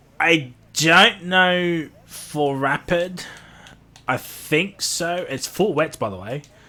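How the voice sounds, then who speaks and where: Loud and bright with a sharp tone, a man with an Australian accent and high pitch speaks at a very slow pace with ordinary pitch variation. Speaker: sim racing commentator. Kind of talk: live commentary. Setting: live stream. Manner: casual, rambling with fillers.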